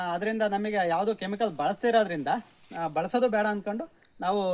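With ordinary pitch variation, a man's high-pitched voice carries his words. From Karnataka, Hassan district (Arsikere). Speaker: farmer. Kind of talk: farm tour explanation. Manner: casual, conversational.

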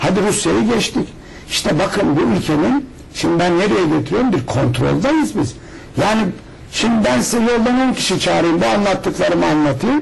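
With noticeable background noise, a man with a high pitch speaks at a moderate pace, his pitch swinging very widely while his loudness stays very even. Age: 50s. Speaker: alternative health author; guest. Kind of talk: TV interview. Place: studio. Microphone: lapel.

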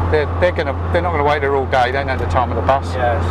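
A man's voice with ordinary pitch variation over loud background noise. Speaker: driving instructor. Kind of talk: instructional commentary. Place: car. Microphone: lapel.

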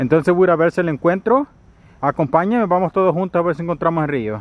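A man's voice with ordinary pitch variation and a dry sound, no echo at all. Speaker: solo camping vlogger. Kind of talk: casual vlog chat. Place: forest. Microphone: phone near.

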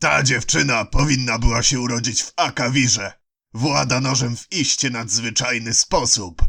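In a put-on character voice, a man speaks at medium pitch and a moderate pace. His loudness swings widely while his pitch varies in an ordinary way. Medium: read story. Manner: smooth, sly, coolly ironic.

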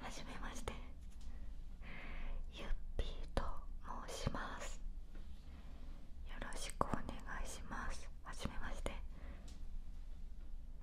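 A woman is whispering. She goes very slowly. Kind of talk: soft whispered ASMR greeting and chat. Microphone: studio mic.

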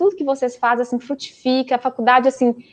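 A woman with a high-pitched voice. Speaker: dentist and PhD student, guest lecturer; guest lecturer. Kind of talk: closing remarks of an online lecture. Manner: fast. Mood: warm, grateful. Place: home room. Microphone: earbuds.

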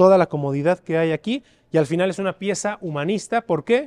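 A man talks in an animated, enthusiastic tone with a Mexican accent. His pitch is high. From Mexico. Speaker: auction house presenter. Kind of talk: promotional walkthrough of an auction preview, presenting lots. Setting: auction house exhibition hall. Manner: animated, enthusiastic sales-pitch delivery. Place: hall. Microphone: lapel.

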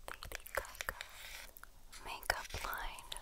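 A woman is whispering. Her delivery is soft-spoken. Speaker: beauty ASMR creator. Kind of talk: soft-spoken ASMR chat. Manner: soft close-mic ASMR whisper. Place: home room.

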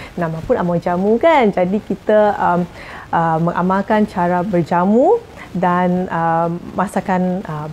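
Light background noise sits under a woman speaking very slowly at a medium pitch. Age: 40s. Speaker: jamu herbal practitioner. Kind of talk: tips sharing to camera. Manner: halting, many fillers. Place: home room.

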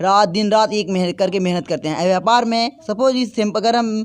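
Pitched high, a man speaks at a moderate pace with ordinary pitch variation. The background is quiet. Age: young. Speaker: welding workshop owner. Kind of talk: interview. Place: workshop. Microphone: handheld.

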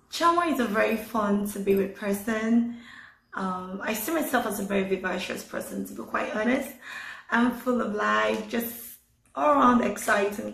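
In a room with audible echo, a woman with a Nigerian accent talks at a fairly high pitch. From Lagos, Nigeria. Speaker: award recipient. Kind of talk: interview testimony. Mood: cheerful, smiling. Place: home room. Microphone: phone near.

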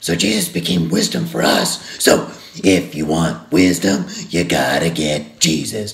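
A man's cartoonish character voice, very deep and low in pitch, at a fairly slow pace. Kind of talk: Bible devotional for kids. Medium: puppet. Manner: upbeat.

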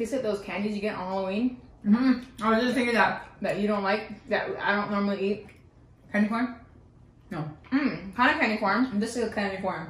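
Over audible room echo, a woman talks at a fairly quick pace with fairly even intonation. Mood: playful, curious. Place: home room. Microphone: camera far.

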